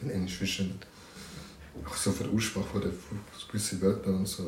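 A man's fairly low voice at a moderate pace, with fairly even intonation, long and frequent pauses, audible room echo and noticeable background noise. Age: 20s. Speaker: podcast co-host. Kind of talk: casual chat. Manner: laughing a lot.

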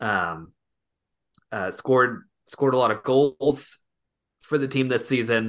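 A man of medium pitch speaks fairly slowly with ordinary pitch variation, leaving long, frequent pauses. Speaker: podcast host. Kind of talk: casual chat.

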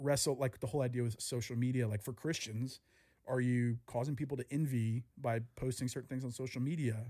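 A man with an American accent speaks at medium pitch and a moderate pace, in a dark, mellow tone with monotone, flat intonation, on a very clean recording with a silent background. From US South. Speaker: podcast host. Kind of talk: casual chat.

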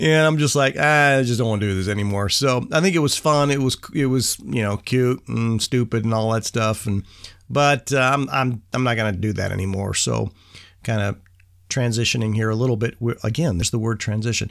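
Here a man talks in an ordinary speaking voice at a medium pitch, with ordinary pitch variation. His pace is fairly quick, and the recording is very clean with a silent background. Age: 60s. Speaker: podcast host for young men. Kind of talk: casual monologue.

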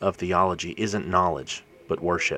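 Moderate pace, a man's voice. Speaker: podcast host giving Bible verse explanations. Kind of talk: reading aloud from own blog posts. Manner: read aloud, scripted.

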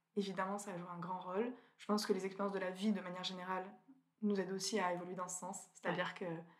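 A woman talks at a very fast pace in a medium pitch, with monotone, flat intonation and big swings in loudness. Long, frequent pauses break her speech, and audible room echo surrounds it. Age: 20s. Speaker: food photographer. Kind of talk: interview.

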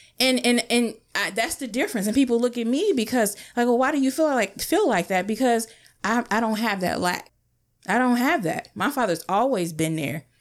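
Lively intonation marks a woman's fairly high voice at a moderate pace, an ordinary speaking voice. The recording is very clean with a silent background. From northern US, later US South. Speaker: podcast co-host. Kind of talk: casual group chat.

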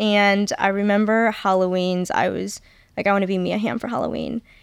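A woman with a normal speaking voice at a medium pitch, fairly even intonation and moderate pace. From Michigan. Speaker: college soccer player. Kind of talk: casual interview.

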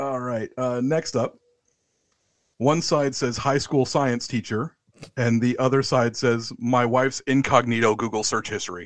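Speaking at a fairly slow pace, a man with an American accent has an unremarkable speaking voice of medium pitch. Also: fairly even intonation. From USA. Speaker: wrestling podcast guest host. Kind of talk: casual chat; match review.

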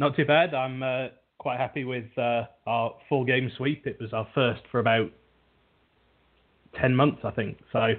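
In a British accent, a man speaks at a fairly slow pace and medium pitch with fairly even intonation and long, frequent pauses. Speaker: sports podcast host. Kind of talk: casual chat. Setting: internet radio show.

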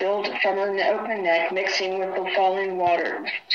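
This is plain reading aloud. Nothing more is marked.

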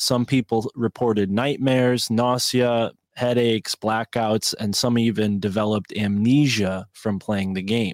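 In a very clean recording with a silent background and a dry, close sound with no echo, a man with a normal speaking voice talks at a fairly slow pace in a medium pitch, with fairly even intonation and hardly any pauses. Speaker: podcast host. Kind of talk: casual chat.

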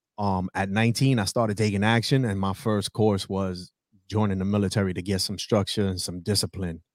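A man's fairly low voice with fairly even intonation and a New York accent, on a very clean recording with a silent background. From New York City (South Bronx). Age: 30s. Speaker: entrepreneur and former Marine. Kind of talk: casual interview.

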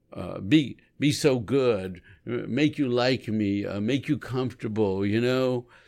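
On a very clean recording with a silent background, a man uses an ordinary speaking voice at medium pitch with ordinary pitch variation. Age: 60s. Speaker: recovery ministry co-host. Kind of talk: casual chat.

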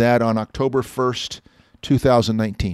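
An unremarkable speaking voice from a man, medium in pitch with fairly even intonation, on a very clean recording with a silent background. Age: 60s. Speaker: automotive columnist and podcast host. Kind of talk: casual chat.

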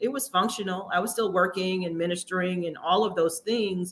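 A woman speaks in a normal speaking voice. Her pitch sits in the medium range, with ordinary variation. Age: 50s. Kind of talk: casual interview.

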